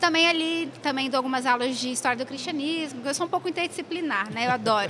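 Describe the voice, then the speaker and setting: A woman's raised, projected, high-pitched voice at a very fast pace, with ordinary pitch variation and noticeable background noise. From Brazil, São Paulo city. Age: 20s. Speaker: theology teacher. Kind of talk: casual interview. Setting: convention hallway.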